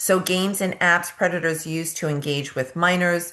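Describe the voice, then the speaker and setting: A woman with a strong New York accent, fairly slow, with ordinary pitch variation. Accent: thick New York. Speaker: nurse practitioner and nursing educator. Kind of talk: presentation.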